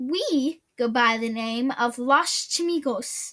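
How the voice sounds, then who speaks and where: A woman puts on a growling character voice pitched high. She talks at a very slow pace with ordinary pitch variation. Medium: read story. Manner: growling, commanding.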